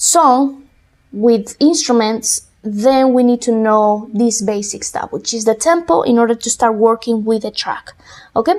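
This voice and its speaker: At a fairly slow pace, a woman with a Spanish accent speaks at a fairly high pitch. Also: ordinary pitch variation. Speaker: music production tutor. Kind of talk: tutorial.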